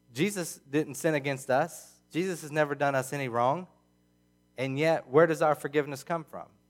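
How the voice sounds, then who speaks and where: A man at a moderate pace with fairly even intonation, music in the background. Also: fairly high pitch for a man. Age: 30s. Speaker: pastor. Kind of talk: sermon. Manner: halting.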